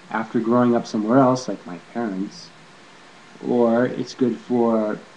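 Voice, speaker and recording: Against noticeable background noise, a man with an American accent talks at a very slow pace and a medium pitch. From California, USA. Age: 40s. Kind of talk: casual talk to camera. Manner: hesitant, rambling.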